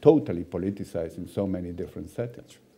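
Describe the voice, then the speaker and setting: A man speaks in a fairly low pitch with lively intonation and a dark, mellow tone. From Chile. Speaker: panel moderator, governance expert. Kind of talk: panel discussion.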